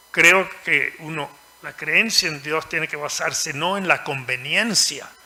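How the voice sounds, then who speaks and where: Speaking at a very slow pace through noticeable background noise, a man with a fairly high pitch shows ordinary pitch variation. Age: 80s+. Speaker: author. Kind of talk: panel discussion.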